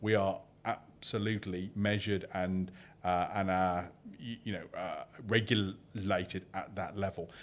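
In a very clean recording with a silent background, a man with a British accent and fairly low pitch speaks at a fairly slow pace with monotone, flat intonation. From UK. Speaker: crypto exchange CEO. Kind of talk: interview. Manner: halting.

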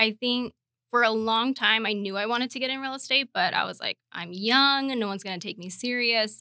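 Talking at a fairly quick pace, a woman uses a fairly high pitch with ordinary pitch variation and a bright, sharp tone. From Arizona, Phoenix. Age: 20s. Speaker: real estate agent. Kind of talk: interview.

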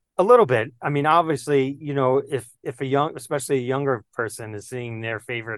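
With an American accent and an unremarkable speaking voice, a man of medium pitch talks at a moderate pace and fairly even intonation, in a dry, close sound with no echo against a quiet background. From New York City (Queens). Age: 50s. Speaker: baseball card collector. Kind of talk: casual chat.

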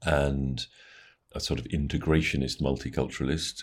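A man speaks at a moderate pace with a very deep, low pitch. Vocal fry runs through his voice. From England. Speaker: journalist and author. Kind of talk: interview. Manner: measured, with frequent hesitations.

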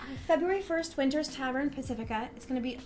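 Lively in intonation, a woman speaks with audible room echo and music in the background. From San Francisco Bay Area. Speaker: bassist and songwriter in a band. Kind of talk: casual chat.

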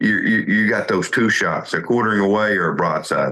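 A man has a plain, everyday voice, pitched fairly low. He talks at a moderate pace. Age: 50s. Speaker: hunting show host. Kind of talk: casual interview chat. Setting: hunting camp on a ranch.

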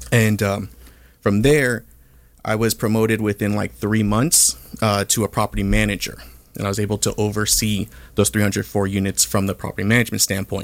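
With an American accent, a man in an ordinary speaking voice talks fairly quickly at a fairly low pitch with fairly even intonation, on a very clean recording with a silent background. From Southern California, Orange County. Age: 30s. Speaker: real estate entrepreneur. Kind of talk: interview. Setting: studio.

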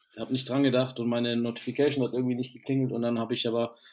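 A man speaks with fairly even intonation. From southern Germany. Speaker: basketball podcast host. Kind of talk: casual chat.

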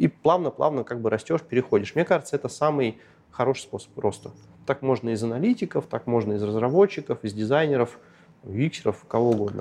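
A man with an unremarkable speaking voice talks fairly quickly at a medium pitch with lively intonation. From northern Russia, Arkhangelsk region. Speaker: tech product director. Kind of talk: interview.

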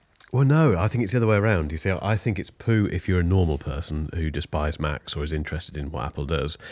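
Speaking very fast with hardly any pauses, a man with a very deep, low pitch and lively intonation talks in an English accent. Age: 40s. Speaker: tech podcast host. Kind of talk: casual chat. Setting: video call.

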